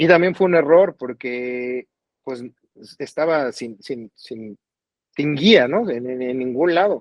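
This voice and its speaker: Very slow, lively intonation from a man at medium pitch, with big swings in loudness. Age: 40s. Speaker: singer-songwriter. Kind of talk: interview conversation.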